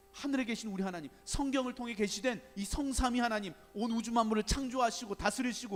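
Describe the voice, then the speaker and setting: A man talks at a fairly quick pace in an extremely high pitch with ordinary pitch variation. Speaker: guest pastor. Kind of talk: sermon. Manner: fast.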